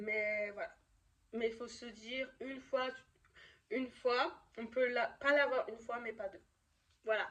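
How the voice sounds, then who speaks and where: Fairly slow speech with fairly even intonation, big swings in loudness and long, frequent pauses. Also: woman, high pitch for a woman. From France, Lyon. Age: 20s. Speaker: youtuber, student. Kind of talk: vlog. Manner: halting, many fillers.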